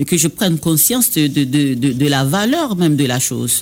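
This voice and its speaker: This man talks at a moderate pace with lively intonation and a fairly high pitch. He has an Ivorian accent. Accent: Baoulé-accented French. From Côte d'Ivoire (Baoulé). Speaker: singer and dubbing studio director. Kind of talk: radio interview. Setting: radio studio. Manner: halting.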